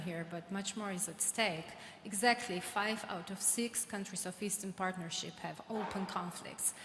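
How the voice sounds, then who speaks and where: Over noticeable background noise and audible room echo, a woman speaks with fairly even intonation in a Georgian accent. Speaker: government official, audience questioner. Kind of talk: audience question at panel. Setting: conference hall with audience.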